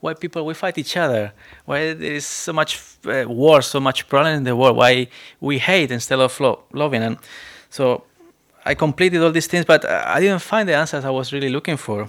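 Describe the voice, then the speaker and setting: A man with a Spanish accent, fairly high in pitch, at a moderate pace with ordinary pitch variation. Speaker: preacher. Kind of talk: sermon. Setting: church.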